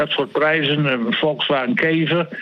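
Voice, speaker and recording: A man speaks over noticeable background noise. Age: 70s. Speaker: sports columnist. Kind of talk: casual chat.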